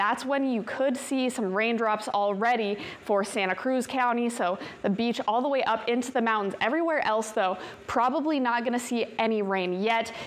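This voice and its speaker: At a moderate pace, the voice has an upbeat tone and ordinary pitch variation. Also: woman. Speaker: TV weather forecaster. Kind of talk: weather report. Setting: TV studio. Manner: upbeat, brisk, conversational; clear, polished broadcast delivery. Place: studio.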